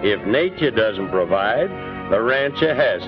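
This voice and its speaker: A man with a Western US accent at a fairly slow pace and medium pitch, with very wide pitch swings and music in the background. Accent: Western American twang. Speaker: narrator. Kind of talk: documentary narration. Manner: earnest, patriotic.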